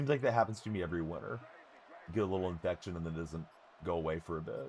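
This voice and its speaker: This man has a very deep, low pitch. He speaks at a very fast pace. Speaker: video game streamer. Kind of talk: live gameplay stream commentary. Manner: casual, conversational.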